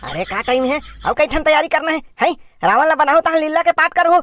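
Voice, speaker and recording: In a cartoonish character voice, someone speaks at a high pitch and a very fast pace. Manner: grumbling, sarcastic.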